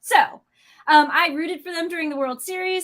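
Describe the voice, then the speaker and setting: A woman's high voice with ordinary pitch variation. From US Midwest, St. Louis. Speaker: automotive YouTube co-host and editor. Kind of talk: casual livestream chat.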